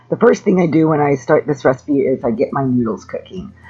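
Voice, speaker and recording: A moderate pace, with faint music in the background. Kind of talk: tutorial. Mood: friendly, upbeat. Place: kitchen.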